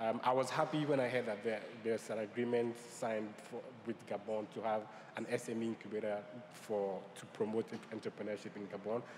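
Noticeable background noise sits behind a man speaking at a fairly quick pace. His pitch is medium and his intonation fairly even. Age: young. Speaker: new media entrepreneur and panelist. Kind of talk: conference panel discussion.

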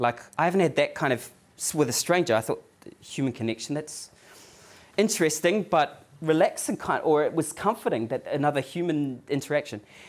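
The speaker has a New Zealand accent and moves at a fairly quick pace. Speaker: accounting academic giving a talk. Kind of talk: lecture, anecdotal storytelling. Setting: stage, live audience. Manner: conversational, uses tag questions like "right?" and "yeah?". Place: meeting room.

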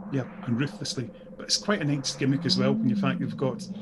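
A man speaks with music playing in the background. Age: 40s. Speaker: podcast co-host. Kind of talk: casual chat.

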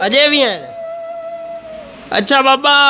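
A man's voice with clear music in the background. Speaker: video host. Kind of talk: casual talk to camera. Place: home room. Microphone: lapel.

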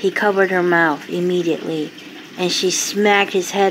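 Someone does plain reading aloud. Their intonation is fairly even.

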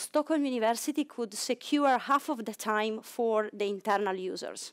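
A woman's fairly high voice with an Italian accent, ordinary pitch variation and a moderate pace over a quiet background. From Italy. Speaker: cryo-EM facility manager. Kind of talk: conference talk. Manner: halting. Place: hall.

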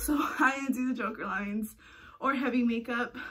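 A woman talks at a moderate pace over a quiet background. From California. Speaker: vlogger. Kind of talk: casual vlog monologue. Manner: animated. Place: home room. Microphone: phone near.

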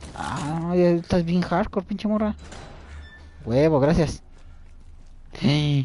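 A man with a Mexican accent, high-pitched yet dark and mellow in tone, at a very slow pace with long, frequent pauses and ordinary pitch variation. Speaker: video game streamer. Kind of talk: live gameplay commentary. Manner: animated.

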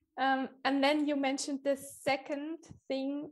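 Over music in the background, a woman speaks in a high pitch. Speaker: podcast host and writing coach. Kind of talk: interview.

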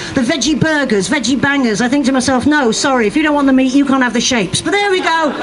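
Over crowd noise in the background, a woman talks at a very fast pace in an animated, playful tone. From UK. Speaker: stand-up comedian. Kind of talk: stand-up comedy. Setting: outdoors, stage with audience. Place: street. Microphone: handheld.

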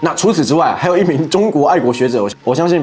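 His pitch rises and falls in very wide swings. The man keeps a fairly quick pace. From Taiwan. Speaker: YouTuber political commentator; political commentary YouTuber. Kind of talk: commentary monologue. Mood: mocking, sarcastic. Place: studio. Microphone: lapel.

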